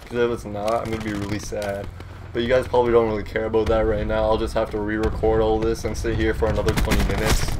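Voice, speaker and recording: Noticeable background noise runs beneath a man speaking at a very fast pace. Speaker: gaming YouTuber. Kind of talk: casual gameplay commentary. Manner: louder than usual; rambling, halting.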